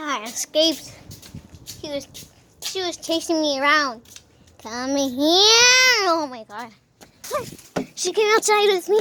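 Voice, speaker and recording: A woman's put-on character voice at an extremely high pitch, fairly slow, with long, frequent pauses. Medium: machinima.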